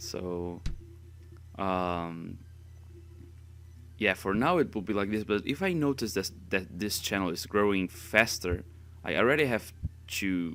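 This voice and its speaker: A man with a slight non-native accent talks at a fairly slow pace, leaving long, frequent pauses. His very deep, low pitch has ordinary variation and a bright, sharp tone. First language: Spanish. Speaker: gaming youtuber. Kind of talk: casual chat. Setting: voice-over recording. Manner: halting.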